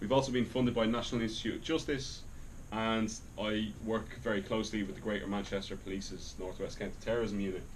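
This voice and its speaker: A man with an Irish accent talks at a fairly quick pace. His voice sits at medium pitch, with audible room echo. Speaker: academic researcher, lecturer. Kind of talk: lecture.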